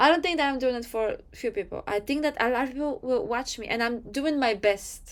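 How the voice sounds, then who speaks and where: Hardly pausing, a woman with a non-native accent speaks at a fairly quick pace and high pitch with ordinary pitch variation. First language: not English. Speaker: manifestation coach, YouTuber. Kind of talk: motivational talk to camera.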